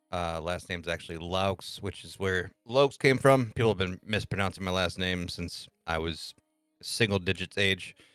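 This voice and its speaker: With an American accent, a man talks at a moderate pace in a fairly low voice with ordinary pitch variation and big swings in loudness, recorded dry and close with no echo while music plays in the background. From US Midwest, Michigan. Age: 30s. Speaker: streamer. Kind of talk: podcast interview.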